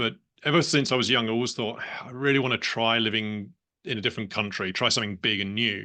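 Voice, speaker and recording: A man with a British accent, medium pitch and a very fast pace. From England, London. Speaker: business owner. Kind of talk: interview conversation.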